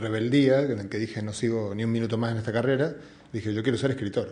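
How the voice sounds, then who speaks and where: The speaker has an Argentine accent and fairly even intonation. Room echo is audible. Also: man. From Argentina. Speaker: physicist and science communicator. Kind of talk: public talk. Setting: museum event with audience. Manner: hesitant, many fillers.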